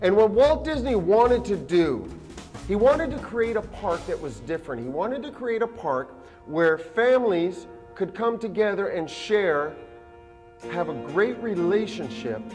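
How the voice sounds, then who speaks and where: With music playing in the background, a man talks at a moderate pace in a high pitch with very wide pitch swings. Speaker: comedian magician, corporate entertainer; motivational speaker. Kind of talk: motivational keynote speech.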